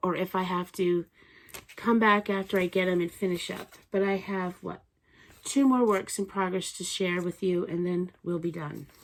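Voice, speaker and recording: The intonation stays fairly even. Delivery runs at a moderate pace. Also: woman, medium pitch for a woman. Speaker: knitting podcaster. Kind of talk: casual show-and-tell vlog. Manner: halting, with fillers.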